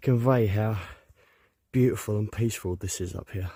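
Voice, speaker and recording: Somewhat breathy and dark, mellow in tone, a man's fairly low voice moves at a moderate pace with fairly even intonation on a very clean recording with a silent background. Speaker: hiking vlogger. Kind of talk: solo vlog narration outdoors. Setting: outdoors on a mountain. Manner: monotone.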